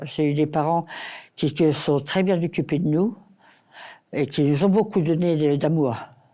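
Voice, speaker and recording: On a very clean recording with a silent background, a woman with a very deep, low pitch and a dark, mellow tone speaks at a moderate pace and very even loudness, pausing long and often. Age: 80s+. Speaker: care home resident. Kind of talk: testimony. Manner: halting.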